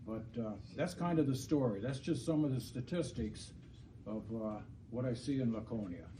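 A medium-pitched man speaks in a room with audible echo, noticeable background noise underneath. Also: ordinary pitch variation, moderate pace. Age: 70s. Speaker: landlord speaking at public hearing. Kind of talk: public comment. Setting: city council meeting. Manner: halting.

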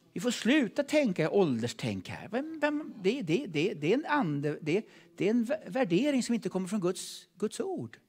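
Over a quiet background, a man with a high pitch talks at a moderate pace, his pitch swinging very widely. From Sweden. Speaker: preacher. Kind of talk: sermon. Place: church. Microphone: handheld.

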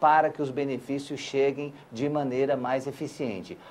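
A man with a fairly high pitch talks at a moderate speed. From Brazil, Acre. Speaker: senator. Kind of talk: interview. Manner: hesitant, many fillers.

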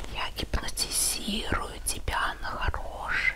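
The pace is very slow. A woman is whispering. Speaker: lifestyle vlogger. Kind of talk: whispered ASMR product review. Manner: whispered. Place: home room. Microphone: lapel.

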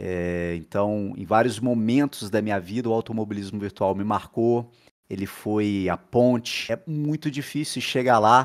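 Against a quiet background, a man talks in a fairly low voice. His pitch varies in an ordinary way. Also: fairly slow pace. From Volta Redonda, interior of Rio de Janeiro state, Brazil; Rio de Janeiro state, Brazil. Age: 30s. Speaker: sim racing driver. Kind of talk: interview monologue. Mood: enthusiastic, emotional about championship. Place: home room. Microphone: headset.

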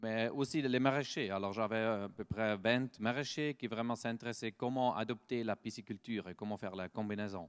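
Someone with a Swiss German accent speaks with fairly even intonation and hardly any pauses against a quiet background. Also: man. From German-speaking Switzerland. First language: Swiss German (speaking French). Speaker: startup founder and researcher. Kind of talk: conference talk; conference presentation. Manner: halting, with frequent hesitations; slow. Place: hall.

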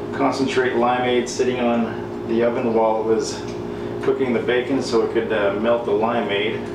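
Speech at a moderate pace comes through with audible room echo and noticeable background noise. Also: man. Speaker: home cook vlogger. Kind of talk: casual cooking tutorial. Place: kitchen. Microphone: camera far.

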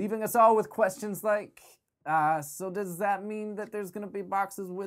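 A man speaks at a moderate pace, the background around him quiet. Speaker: parody news anchor. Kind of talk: comedic news reading. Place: studio.

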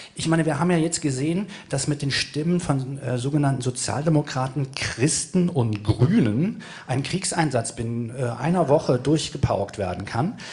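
A man's voice in a northern German accent at a moderate pace, with ordinary pitch variation. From Hamburg, northern Germany; Germany. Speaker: activist panelist; panelist. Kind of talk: panel discussion. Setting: stage with audience. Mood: provocative, slightly ironic. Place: stage. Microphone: handheld.

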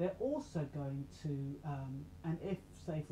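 A woman speaks quietly at a very deep, low pitch over light background noise. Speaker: self-help channel host and radio presenter. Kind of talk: casual talk to camera. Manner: low, quiet voice. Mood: calm, explanatory. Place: home room. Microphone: webcam.

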